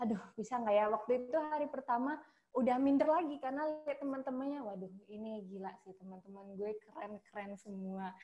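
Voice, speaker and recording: With a Sumatran accent, a woman talks fairly quickly with hardly any pauses, her fairly high voice dark and mellow in tone and lively in intonation. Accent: regional Sumatran. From Sumatra, Indonesia. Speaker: hotel front office worker, alumna. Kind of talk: casual interview chat. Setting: video call.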